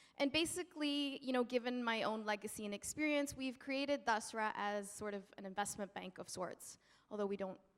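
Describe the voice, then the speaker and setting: With a Canadian accent, a normal speaking voice moves at a moderate pace with ordinary pitch variation. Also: woman. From Canada. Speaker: nonprofit founder, panelist. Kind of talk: panel talk. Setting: stage with audience.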